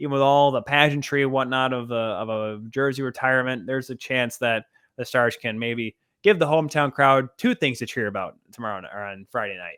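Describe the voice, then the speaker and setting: An unremarkable speaking voice, this man talks at a fairly quick pace at medium pitch, with ordinary pitch variation and big swings in loudness. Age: 20s. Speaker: sports podcast host. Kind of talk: casual chat.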